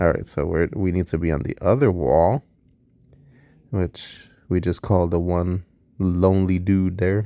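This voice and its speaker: The tone is dark and mellow, delivered at a moderate pace. The sound is dry and close with no echo over a quiet background. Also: man. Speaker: gaming youtuber. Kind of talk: game walkthrough commentary. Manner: casual, thinking aloud.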